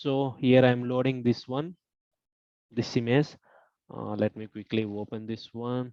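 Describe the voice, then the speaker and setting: A soft-spoken man with a dark, mellow tone talks at a medium pitch and a fairly slow pace, with fairly even intonation, big swings in loudness and long, frequent pauses, in a dry, close sound with no echo. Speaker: online course instructor. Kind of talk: lecture. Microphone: too quiet.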